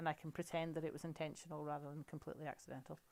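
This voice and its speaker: A woman with a Scottish accent talks at a very fast pace. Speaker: crafting demonstrator. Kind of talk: live crafting tutorial. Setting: livestream. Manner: chatty, conversational.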